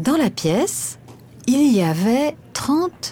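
Her voice is somewhat breathy with a dark, mellow tone. The woman's pitch swings very widely. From France, Paris area. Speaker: voice of train station announcements. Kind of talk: scripted narration. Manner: slow.

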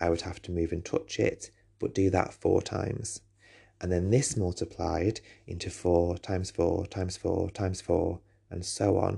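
Against a quiet background, a man with an English accent speaks at a moderate pace in a fairly low, dark, mellow and somewhat breathy voice. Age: 30s. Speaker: teacher and podcast host. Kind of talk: personal monologue.

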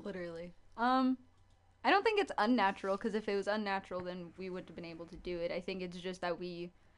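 This woman has a plain, everyday voice, and her intonation stays fairly even. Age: 20s. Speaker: slam poet. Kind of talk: casual chat. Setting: studio.

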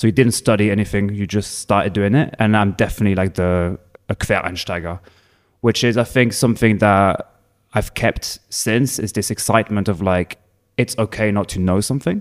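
In a very clean recording with a silent background, a man with a French accent and fairly low pitch speaks at a moderate pace with fairly even intonation. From France, Provence. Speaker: bartender. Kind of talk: casual chat.

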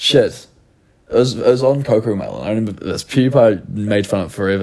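A man's dark, mellow tone in a New Zealand accent. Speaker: podcast host and content creator. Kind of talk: casual chat.

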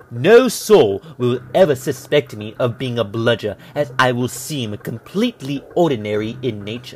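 Over noticeable background noise, a man with a medium pitch and ordinary pitch variation speaks with hardly any pauses, his loudness swinging a lot. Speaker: narrator reading a villain's letter in character. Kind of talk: dramatic narration of a sinister letter, theatrical villain reading. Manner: menacing, theatrical, slow and deliberate; formal, archaic-sounding, gravely intense.

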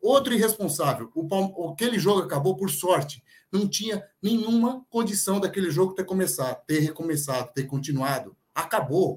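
With lively intonation and hardly any pauses, a man speaks at a moderate pace in a high pitch. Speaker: football pundit. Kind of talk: casual chat.

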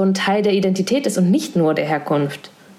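A woman at medium pitch and a fairly quick pace, with audible room echo and noticeable background noise. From Thuringia, eastern Germany. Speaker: podcast host. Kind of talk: casual interview. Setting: at home, remote recording.

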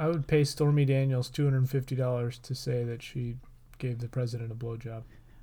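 A man's somewhat breathy, dark and mellow voice at medium pitch, moving at a fairly quick pace. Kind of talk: mock radio ad pitch, riffing on a jingle inside a casual comedy chat. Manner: upbeat, tongue-in-cheek announcer patter, repeating the catchphrase.

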